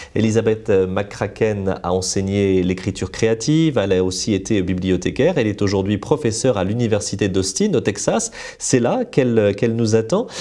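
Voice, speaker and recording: A man talks with a French accent at a fairly low pitch. His loudness stays very even. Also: ordinary pitch variation, fairly quick pace, hardly any pauses. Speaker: literary interviewer. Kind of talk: interview. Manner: formal. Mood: warm, smiling. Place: studio. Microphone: lapel.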